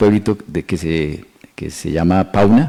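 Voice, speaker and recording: Very deep, low male speech with ordinary variation in pitch. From Colombia, Boyacá and Tolima. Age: 60s. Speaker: mayoral candidate. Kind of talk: interview. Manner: halting, many fillers.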